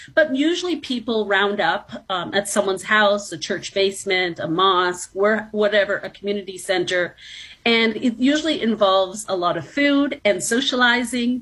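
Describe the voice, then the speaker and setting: A woman with a Canadian accent and an unremarkable speaking voice talks at a moderate pace using lively intonation. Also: medium pitch for a woman. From Toronto, Canada. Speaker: professor. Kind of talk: interview.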